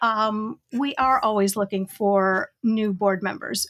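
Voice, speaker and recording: On a very clean recording with a silent background, a woman with an Inland North American accent speaks in a fairly high voice with fairly even intonation. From Western New York. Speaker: educator and trainer. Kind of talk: casual chat.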